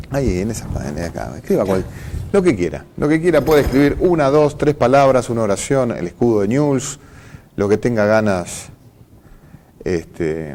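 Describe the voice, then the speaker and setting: With a dark, mellow tone, a man at medium pitch makes very wide pitch swings and leaves long, frequent pauses. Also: moderate pace. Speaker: TV interview host. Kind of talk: interview.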